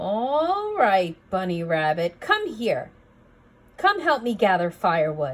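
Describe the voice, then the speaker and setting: A woman's gruff, put-on character voice at medium pitch and a fairly slow pace. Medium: read story. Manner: gruff, unkind.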